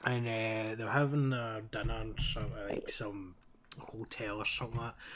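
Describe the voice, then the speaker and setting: A man with a Glaswegian accent, medium in pitch, fairly even in intonation, at a moderate pace. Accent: Glaswegian Scottish, fairly thick. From Scotland, Glasgow. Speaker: streamer, Minecraft roleplay server player. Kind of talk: casual chat while gaming, telling a story.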